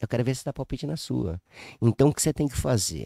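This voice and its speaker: The speaker is a man, heard in a dry, close sound with no echo. The recording is very clean, with a silent background. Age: 60s. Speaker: businessman. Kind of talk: casual chat. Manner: halting, repetitive.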